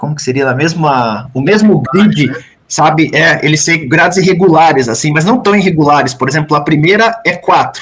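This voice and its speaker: This man's voice sits at a fairly high pitch and has ordinary pitch variation. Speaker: thesis examiner professor. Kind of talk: thesis defense questioning. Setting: university thesis defense. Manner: fast.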